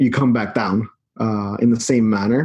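With a plain, everyday voice, a man talks at medium pitch and with fairly even intonation. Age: 30s. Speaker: marketing agency CEO. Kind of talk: casual chat.

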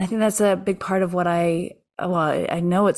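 A woman's fairly low voice, an ordinary speaking voice, at a moderate pace on a very clean recording with a silent background. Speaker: podcast host. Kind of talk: interview conversation, warm and spiritual. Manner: warm, encouraging.

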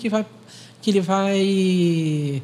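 A man with a high pitch speaks in a dark, mellow tone. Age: 40s. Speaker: clinical psychologist and teacher. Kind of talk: interview at a church youth service.

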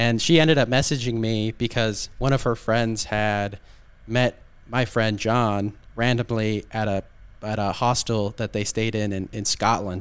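This man has a Southern California accent. He speaks at a fairly slow pace with fairly even intonation. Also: medium pitch for a man. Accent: Southern Californian American English. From US, Southern California (Orange County). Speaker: podcast guest, expat, podcaster. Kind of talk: casual interview chat. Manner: hesitant, many fillers and restarts.

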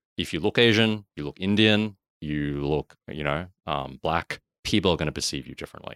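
In an Australian accent, a man with a very deep, low voice speaks at a moderate pace with ordinary pitch variation and big swings in loudness, recorded dry and close with no echo. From Australia, Sydney. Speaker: productivity and systems consultant. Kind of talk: casual interview chat.

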